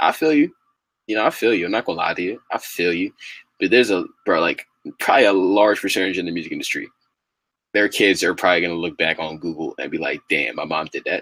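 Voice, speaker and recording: In a dry, close sound with no echo, a man with a fairly low pitch talks very fast with lively intonation. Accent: American. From New York. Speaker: hip hop commentary podcast host. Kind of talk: casual solo commentary. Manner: animated, repetitive filler phrases.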